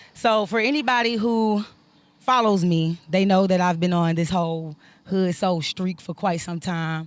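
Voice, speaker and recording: A woman's medium-pitched voice moves at a moderate pace, its pitch varying in an ordinary way. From US South, Decatur, Georgia. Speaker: R&B singer. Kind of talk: interview.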